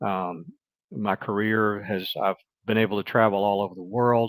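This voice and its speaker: A man with a Mississippi accent, fairly low in pitch, at a moderate pace, in a very clean recording with a silent background and a dry, close sound with no echo. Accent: Southern US (Mississippi). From US South, Mississippi. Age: 60s. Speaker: retired business executive and writer. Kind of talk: interview conversation.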